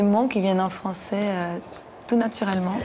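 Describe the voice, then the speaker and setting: A woman keeps her intonation fairly even while noticeable background noise carries on. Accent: Cuban. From Cuba. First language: Spanish (speaking French). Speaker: singer. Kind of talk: TV interview.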